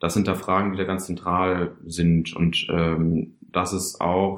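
Over a quiet background, a man with a very deep, low pitch speaks in monotone, flat intonation. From Karlsruhe, Baden. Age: 20s. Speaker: engineering student, young communist activist. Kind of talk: personal testimony interview. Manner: hesitant, many fillers.

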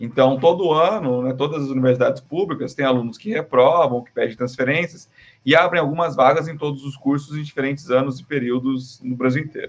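Here a man with a fairly high pitch talks at a fairly quick pace with hardly any pauses, ordinary pitch variation and big swings in loudness. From Brazil, Paraná (Londrina). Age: 30s. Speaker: marketing professor. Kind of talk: casual interview.

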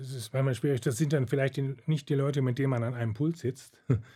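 A man speaks at a fairly quick pace in a dark, mellow, somewhat breathy voice, his intonation fairly even, on a very clean recording with a silent background. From Germany, Detmold (East Westphalia). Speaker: retired orchestra cellist. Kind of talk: interview.

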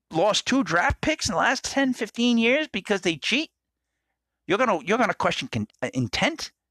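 The sound is dry and close, with no echo, and the tone is bright and sharp. The voice is raised and projected, swinging very widely in pitch. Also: man. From Rhode Island, New England. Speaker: podcast host. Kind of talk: casual monologue. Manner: halting, repetitive.

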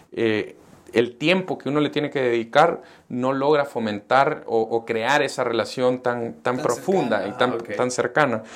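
In a very clean recording with a silent background, a man uses an ordinary speaking voice at medium pitch with ordinary pitch variation. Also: moderate pace. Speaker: entrepreneur. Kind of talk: interview. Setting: coworking space studio.

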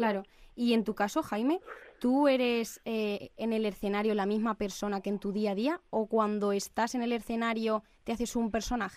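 A woman with a slight Albacete accent speaks at a moderate pace in a fairly high pitch with fairly even intonation, recorded very cleanly against a silent background. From Albacete, Spain. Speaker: student radio host. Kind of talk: interview. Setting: studio.

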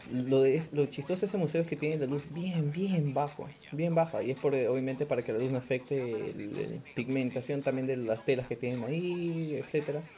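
At a moderate pace and a fairly high pitch, a man talks with ordinary pitch variation over noticeable background noise. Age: 20s. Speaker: podcast host. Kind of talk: casual chat.

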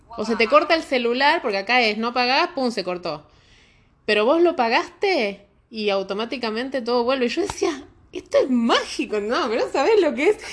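Speaking with a Rioplatense accent, a woman uses very wide pitch swings. Her high-pitched voice moves at a moderate pace. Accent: Argentine Spanish (rioplatense). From Argentina. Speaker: immigrant guest. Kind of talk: casual chat.

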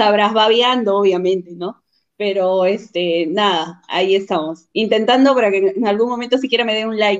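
A woman talks in a plain, everyday voice at medium pitch. Her pace is moderate, with ordinary pitch variation. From Peru, Huacho (born Chiclayo). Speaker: clothing store entrepreneur. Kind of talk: casual interview. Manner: laughs often.

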